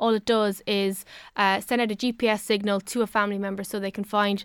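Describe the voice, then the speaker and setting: A woman with an Irish accent talks at a very fast pace in a medium pitch and a flat monotone, recorded very cleanly with a silent background and a dry, close sound with no echo. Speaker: technology reviewer. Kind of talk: radio chat. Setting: studio.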